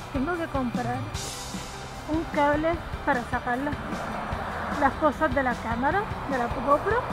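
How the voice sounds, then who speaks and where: A woman speaks at a fairly slow pace. Clear music runs in the background. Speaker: vlogger. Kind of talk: casual vlog chat. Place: street. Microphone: phone near.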